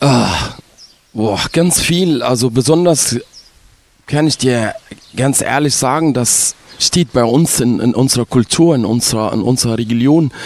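With an Arabic accent, a man speaks at a medium pitch and a fairly slow pace, with ordinary pitch variation, long, frequent pauses and noticeable background noise. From Egypt, Ismailia. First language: Arabic (speaking German). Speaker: resort entertainer. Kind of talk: casual interview.

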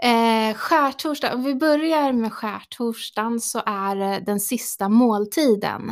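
Speaking very slowly, a woman uses a fairly high pitch with ordinary pitch variation and hardly any pauses. The recording is very clean, with a silent background. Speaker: priest. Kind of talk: casual chat. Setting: studio.

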